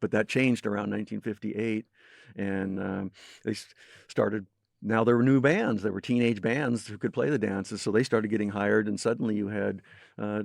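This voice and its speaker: Fairly low in pitch, a man speaks with a plain, everyday voice at a fairly quick pace and with fairly even intonation. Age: 60s. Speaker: music historian. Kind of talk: interview.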